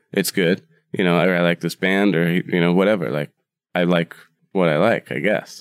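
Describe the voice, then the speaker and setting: Very deep and low, a man's voice carries an Upper Midwest accent and fairly even intonation, recorded dry and close with no echo. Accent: Upper Midwest American. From US Midwest, Wisconsin. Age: 30s. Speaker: bar owner and cook. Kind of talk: casual interview chat. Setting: room above his bar.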